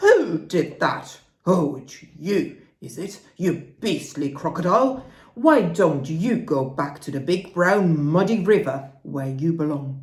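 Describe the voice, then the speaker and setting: Putting on a character voice, a man speaks in a high pitch at a fairly slow pace with audible echo. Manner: indignant.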